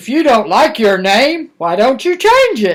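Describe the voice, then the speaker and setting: A put-on character voice at a moderate pace, with very wide pitch swings. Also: woman. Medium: read story. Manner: sly, casual.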